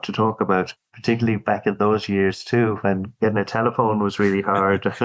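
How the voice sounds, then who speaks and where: In an Irish accent, a man talks at a fairly quick pace with a fairly low pitch. His intonation is monotone and flat, and the background is quiet. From Dublin, Ireland. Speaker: corporate lawyer. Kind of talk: interview answer.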